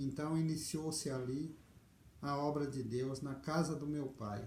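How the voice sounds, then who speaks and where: Speaking very slowly, a man has a fairly high pitch and a dark, mellow, somewhat breathy tone with ordinary pitch variation. Audible room echo surrounds his voice. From Brazil, interior of Paraná near Londrina. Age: 60s. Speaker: video storyteller. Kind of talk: life story testimony. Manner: hesitant, with fillers.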